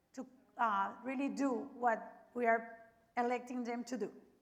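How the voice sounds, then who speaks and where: A woman's high-pitched voice with a Spanish accent, bright and sharp in tone, fairly even in intonation and at a fairly slow pace. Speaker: media representative and forum co-moderator. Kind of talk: event introduction.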